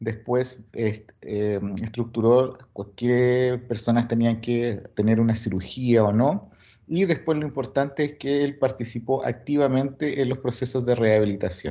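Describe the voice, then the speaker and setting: Against a quiet background, a man speaks fairly slowly with hardly any pauses, using a dark, mellow tone at a medium pitch with ordinary pitch variation. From Chile. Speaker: sports physiologist, coaching staff. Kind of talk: lecture.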